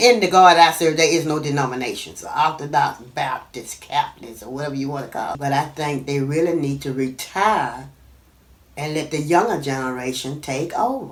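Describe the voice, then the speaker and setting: Over noticeable background noise, a woman with a very deep, low pitch speaks at a fairly quick pace, with ordinary pitch variation and big swings in loudness. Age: 60s. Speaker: retired physician assistant. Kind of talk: interview answer.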